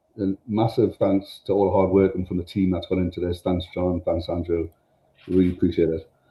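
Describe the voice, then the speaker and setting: In a northern English accent, a man with a very deep, low pitch talks fairly quickly and sounds somewhat breathy. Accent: northern English accent, noticeable. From northern England. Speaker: tech company presenter. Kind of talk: product demo. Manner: casual, enthusiastic, with many fillers.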